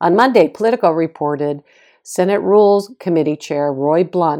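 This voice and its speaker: This woman has an American accent and a fairly low pitch with a dark, mellow tone. She talks at a moderate pace with ordinary pitch variation in a very clean recording with a silent background. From Boston, US. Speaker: podcast host and author. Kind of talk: scripted news recap, political commentary.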